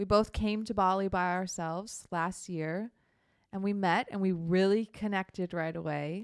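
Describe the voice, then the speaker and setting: With an American accent, a woman in a plain, everyday voice speaks at medium pitch and a moderate pace with fairly even intonation, on a very clean recording with a silent background. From Minnesota, US Midwest. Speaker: podcast co-host, solo traveler. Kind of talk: casual chat.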